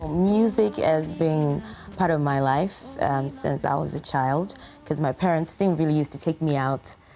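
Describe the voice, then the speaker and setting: Over music in the background, a woman with a Yoruba accent speaks with a very deep, low pitch, lively intonation and very even loudness. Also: moderate pace. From Nigeria. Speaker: singer. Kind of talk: interview. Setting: studio. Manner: hesitant with many fillers.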